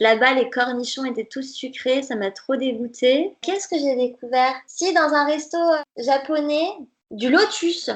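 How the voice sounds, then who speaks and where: A woman talks in a high voice at a fairly slow pace. Her pitch varies in an ordinary way. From France, Nantes (Brittany). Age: 20s. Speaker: dietitian. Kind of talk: podcast interview.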